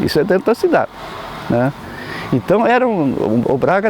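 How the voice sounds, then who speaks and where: A man speaks at a moderate pace with very wide pitch swings. Noticeable background noise is present. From Rio Grande do Sul, Brazil. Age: 70s. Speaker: former local politician. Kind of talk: oral history interview. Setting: outdoors in a town square.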